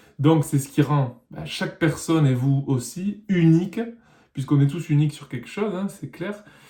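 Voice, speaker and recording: A man's somewhat breathy voice, fairly high in pitch with a dark, mellow tone, ordinary pitch variation and a moderate pace. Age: 30s. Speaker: musician and vlogger. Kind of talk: personal vlog monologue.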